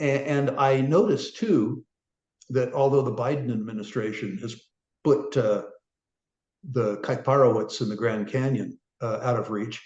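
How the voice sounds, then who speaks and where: Somewhat breathy at medium pitch, a man speaks at a moderate pace with long, frequent pauses and ordinary pitch variation. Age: 70s. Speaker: resource investor. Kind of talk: interview. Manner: halting, many fillers.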